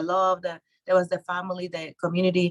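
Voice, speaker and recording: A woman with a Mexican accent speaks at medium pitch in a dry, close sound with no echo. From Mexico. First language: Spanish. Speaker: real estate investor and author. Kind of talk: interview. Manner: halting.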